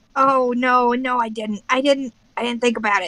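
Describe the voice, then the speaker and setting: Someone with a female-sounding voice does a put-on character voice, pitched high and delivered at a moderate speed. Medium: actual play. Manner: hesitant, stammering.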